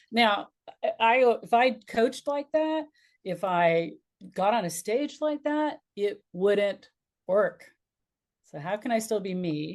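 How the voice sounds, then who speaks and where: Very slow speech with long, frequent pauses moves through very wide pitch swings. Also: woman, fairly high pitch for a woman. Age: 60s. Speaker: business and life strategist, speaker coach. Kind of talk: podcast interview.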